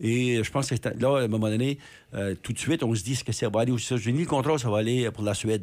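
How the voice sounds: A man talks at a fast pace with medium pitch and ordinary pitch variation. His tone is slightly mellow.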